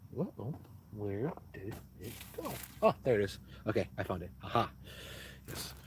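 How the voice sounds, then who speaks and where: A loud man with a fairly low voice speaks at a moderate pace, his intonation lively and his speech broken by long, frequent pauses. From US Midwest, Milwaukee. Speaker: YouTuber. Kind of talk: casual live-stream Q&A. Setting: inside a tent at a beach campsite. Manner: halting, many fillers.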